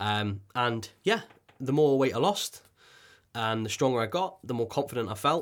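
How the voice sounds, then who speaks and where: With a North Welsh accent, a man speaks at a moderate pace and medium pitch. His intonation is lively, on a very clean recording with a silent background. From North Wales coast. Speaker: podcast host. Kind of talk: personal story monologue. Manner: halting, with frequent fillers and repetitions.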